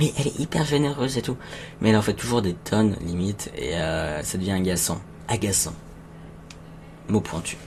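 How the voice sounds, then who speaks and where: Soft-spoken, a man talks at a moderate pace in a fairly low pitch. His speech has long, frequent pauses. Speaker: streamer. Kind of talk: live stream chat with viewers. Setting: home live stream. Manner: halting.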